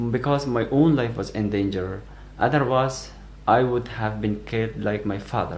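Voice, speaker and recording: Somewhat breathy and at a moderate pace, a man speaks at a medium pitch with fairly even intonation, with audible room echo. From Afghanistan. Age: 20s. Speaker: asylum seeker. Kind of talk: testimony. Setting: self-recorded video. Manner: halting.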